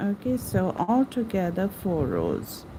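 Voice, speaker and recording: A woman with a non-native accent speaks with very wide pitch swings. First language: not English. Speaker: crochet teacher. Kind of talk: live stream tutorial. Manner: casual, chatty.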